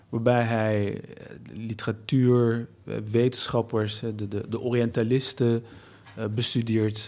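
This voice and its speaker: A man's dark, mellow, medium-pitched voice at a very slow pace, monotone and flat, broken by long, frequent pauses. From Nijmegen, Netherlands, Turkish family. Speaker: writer, anthropologist. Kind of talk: conversational discussion. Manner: hesitant, repeats words.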